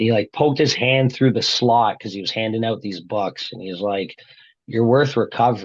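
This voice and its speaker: Against a quiet background, a man with a Canadian accent uses an ordinary speaking voice, fairly low in pitch, at a moderate pace. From Brampton, Ontario, Canada. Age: 30s. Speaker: guest sharing recovery story. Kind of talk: testimony.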